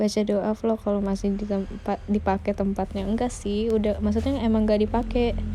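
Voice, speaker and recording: Here a woman speaks with a fairly high pitch. Noticeable background noise sits behind her. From West Java, Indonesia (Sundanese family). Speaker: idol group member live streaming. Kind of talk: casual live stream chat. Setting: home live stream, radio mode without camera. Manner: casual, chatty.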